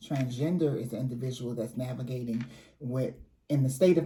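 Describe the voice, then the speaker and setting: In a room with audible echo, a woman speaks at a moderate pace with a very deep, low pitch and a dark, mellow, somewhat breathy tone. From New Orleans, Louisiana. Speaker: community advocate and trainer. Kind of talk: interview.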